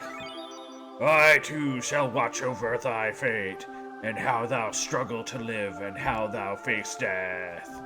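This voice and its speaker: Over loud background music, a man performs a put-on character voice at a medium pitch and a very slow pace. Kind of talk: archaic, formal. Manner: solemn, grand.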